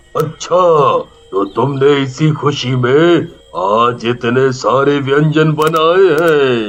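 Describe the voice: In a cartoonish character voice, a man speaks at a very slow pace. His pitch is fairly high.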